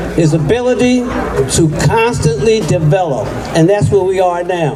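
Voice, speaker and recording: Someone with an American accent speaks at a fairly slow pace against noticeable background noise. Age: 80s+. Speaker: jazz music educator. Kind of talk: ceremony speech.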